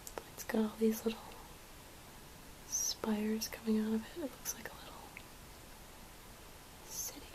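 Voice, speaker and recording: Whispering at a moderate pace, a woman leaves long, frequent pauses, her loudness swinging widely over noticeable background noise. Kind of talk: ASMR haul. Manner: whispered; soft-spoken.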